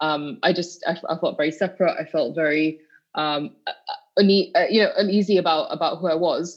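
With a West Yorkshire accent, a woman talks at a moderate pace, her pitch fairly low and her intonation fairly even. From northern England, Bradford. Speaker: activist. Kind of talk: podcast interview. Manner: halting, many repeated words.

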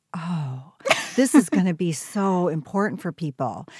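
A woman has a plain, everyday voice with a fairly low pitch and lively intonation, speaking at a moderate pace. The recording is very clean with a silent background and a dry, close sound with no echo. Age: 60s. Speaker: business coach. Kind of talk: casual chat.

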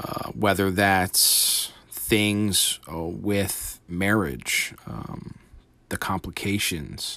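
A man speaks at a very slow pace. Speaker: podcast host and aspiring entrepreneur. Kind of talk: solo podcast monologue. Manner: many fillers and lip smacks.

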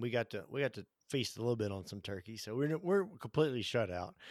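A man's medium-pitched voice with an American accent, very fast and lively in intonation, with a dry, close sound and no echo. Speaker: physical therapist and fitness podcaster. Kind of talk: casual interview chat. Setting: remote call.

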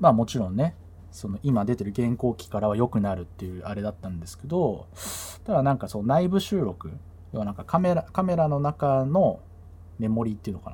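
A man's dark, mellow, somewhat breathy voice in a relaxed tone, fairly quick, with very wide pitch swings, on a very clean recording with a silent background. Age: middle-aged. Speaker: podcast host and DJ. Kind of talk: casual solo talk. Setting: bedroom home recording. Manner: relaxed, filler-heavy.

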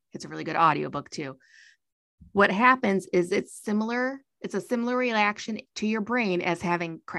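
Against a quiet background, a woman uses an ordinary speaking voice at a medium pitch, with ordinary pitch variation and a moderate pace. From US Midwest (Michigan). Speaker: podcast host. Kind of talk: casual chat.

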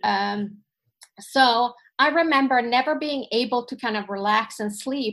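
At a fairly slow pace, a woman with a Finnish accent talks in a fairly high pitch with ordinary pitch variation. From Sweden. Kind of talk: casual interview chat. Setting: video call.

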